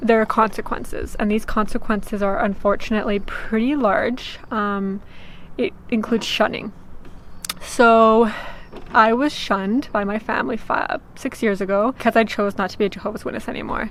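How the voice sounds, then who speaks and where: Noticeable background noise surrounds a woman who talks at a moderate pace. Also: fairly high pitch for a woman, ordinary pitch variation. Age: 20s. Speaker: vlogger. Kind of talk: personal vlog testimony. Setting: on a sailboat. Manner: casual, many filler ums.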